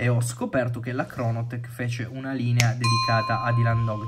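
Loud background noise surrounds a man's voice. He speaks at a fairly quick pace with a medium pitch. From Turin, northern Italy; northern Italy. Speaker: watch enthusiast sending a video; watch reviewer. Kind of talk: recorded video message. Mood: disappointed, advising against brand. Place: home room.

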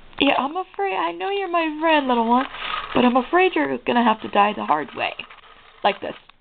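There's noticeable background noise as a woman speaks at a high pitch and a fairly quick pace. Her tone is animated, with very wide pitch swings. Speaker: gaming video creator. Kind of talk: let's play commentary.

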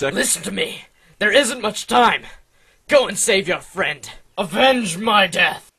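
Using a put-on character voice pitched high, a man talks at a fairly slow pace with long, frequent pauses. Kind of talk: comic overacting. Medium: machinima. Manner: grandiose, melodramatic.

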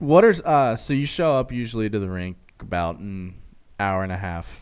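Lively intonation from a man with a very deep, low pitch, against a quiet background. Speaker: podcast host. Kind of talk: casual chat. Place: studio. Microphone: studio mic.

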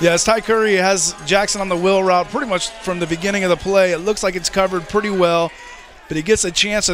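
A man's high-pitched voice at a fairly quick pace, with noticeable background noise. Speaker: color commentator. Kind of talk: live sports commentary, analyst remarks. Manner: conversational, relaxed analyst, enthusiastic.

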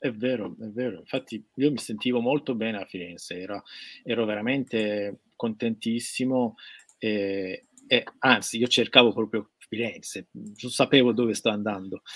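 A man with a Persian accent at a moderate pace, fairly even intonation, quiet background. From Iran. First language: Persian (speaking Italian). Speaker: guest. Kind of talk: casual livestream interview. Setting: video call from his studio. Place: workshop. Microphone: webcam.

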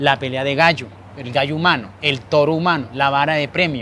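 A man talks at a fairly quick pace. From Colombian Caribbean coast, Montería, Córdoba. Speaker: small business owner. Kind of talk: interview.

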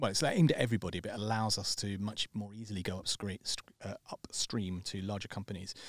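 A man with a British accent at a very fast pace, fairly even in intonation, with a dry, close sound and no echo. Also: fairly low pitch for a man. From Britain. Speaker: startup co-founder. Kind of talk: casual chat. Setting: studio. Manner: halting.

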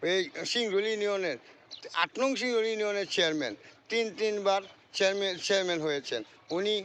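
A man talks with a high pitch. The pitch shifts with ordinary variation. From Bangladesh, Mymensingh (Nandail). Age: old. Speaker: vlogger. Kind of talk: casual monologue to camera. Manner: halting.

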